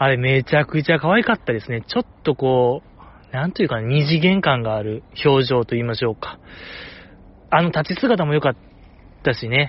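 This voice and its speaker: Speaking in a Kansai accent, a man with a fairly high, somewhat breathy voice uses ordinary pitch variation and leaves long, frequent pauses. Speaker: podcast host. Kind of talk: casual solo talk. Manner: soft-spoken.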